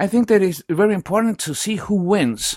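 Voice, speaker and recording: A man with an Ecuadorian accent speaks at a moderate pace. The sound is dry and close with no echo, and the recording is very clean over a silent background. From Quito, Ecuador. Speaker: sports journalist. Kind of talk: casual interview chat. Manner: halting, non-fluent English.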